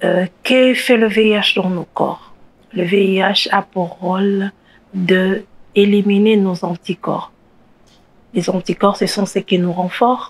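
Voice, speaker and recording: A woman speaks very slowly at a medium pitch, her intonation monotone and flat. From DR Congo. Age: 30s. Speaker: HIV activist. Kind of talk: testimony. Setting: studio.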